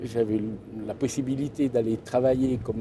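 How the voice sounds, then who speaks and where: At a fairly quick pace, a man of medium pitch speaks with monotone, flat intonation. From Gruyère region, Switzerland. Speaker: shepherd and storyteller. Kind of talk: interview answer. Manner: hesitant, conversational.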